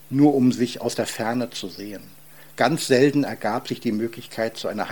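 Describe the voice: The clip features plain reading aloud, its pitch varying in an ordinary way.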